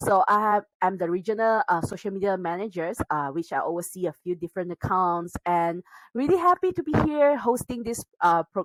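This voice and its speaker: A woman's pitch swings very widely. The sound is dry and close with no echo. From Malaysia. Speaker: podcast co-host. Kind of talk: casual chat.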